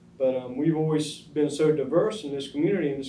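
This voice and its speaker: An American-accented man at a fairly quick pace, dark and mellow in tone, with audible room echo. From US South. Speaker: oral history interviewee. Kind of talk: oral history interview. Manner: hesitant, many fillers.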